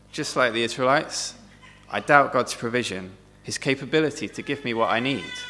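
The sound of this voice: With ordinary pitch variation, an unforced reading voice is heard.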